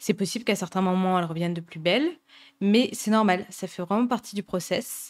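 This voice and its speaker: A woman speaks at a medium pitch with ordinary pitch variation, recorded very cleanly against a silent background. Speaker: podcast host, eating disorder recovery coach. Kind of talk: podcast monologue, advice. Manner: fast; casual with many hesitations.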